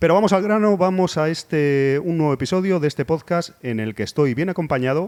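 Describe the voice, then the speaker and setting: A man speaks at a moderate pace with ordinary pitch variation, and the sound is dry and close with no echo. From Spain, Cornellà near Barcelona. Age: middle-aged. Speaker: podcast host. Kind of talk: casual interview chat. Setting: bar.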